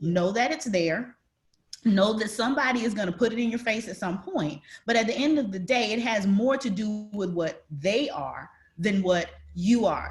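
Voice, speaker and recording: With an American accent, the speaker talks at a moderate pace with lively intonation. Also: woman. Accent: Southern accent, comes out occasionally. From US South, rural North Florida. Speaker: panelist, corporate leader. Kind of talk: panel discussion.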